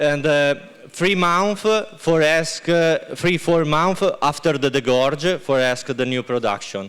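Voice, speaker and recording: With an Italian accent, a man speaks at a very slow pace and a fairly high pitch. His loudness is very even, and his pitch varies in an ordinary way. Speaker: winemaker. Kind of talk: product presentation. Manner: halting.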